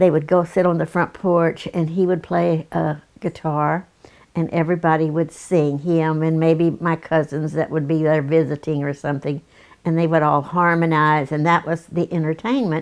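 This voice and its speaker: Against a silent background in a very clean recording, a woman talks in a monotone, flat way at a very deep, low pitch. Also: moderate pace. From Texas. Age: 80s+. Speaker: grandmother sharing memories. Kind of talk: interview, personal reminiscence.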